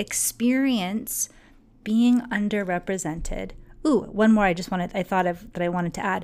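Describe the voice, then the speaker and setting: In a very clean recording with a silent background, a woman talks in an unremarkable speaking voice at a medium pitch, with ordinary pitch variation. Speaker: podcast host and management coach. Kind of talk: solo podcast monologue.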